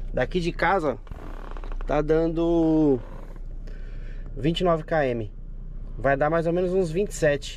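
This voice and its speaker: The speech moves at a very slow pace with long, frequent pauses and fairly even intonation. Loudness stays very even, and the sound is dry with no echo over light background noise. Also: man. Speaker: travel vlogger. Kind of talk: casual vlog chat. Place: car. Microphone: phone near.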